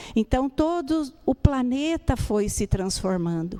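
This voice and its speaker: Speaking at a very slow pace, a woman has a high pitch. Her tone is dark and mellow. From Brazil, Rio Grande do Sul. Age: 60s. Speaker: spiritist lecturer. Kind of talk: lecture. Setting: spiritist center with audience.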